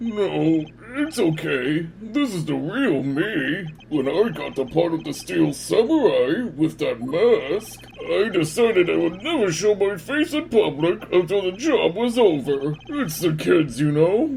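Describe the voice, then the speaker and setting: A man puts on a character voice, pitched high and delivered at a fairly slow pace. Background noise is clearly audible. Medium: fan dub. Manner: nervous, stammering.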